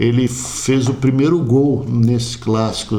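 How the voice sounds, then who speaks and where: Medium-pitched male speech with audible room echo, set against noticeable background noise. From Florianópolis, southern Brazil. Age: 60s. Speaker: community sports figure. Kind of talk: interview.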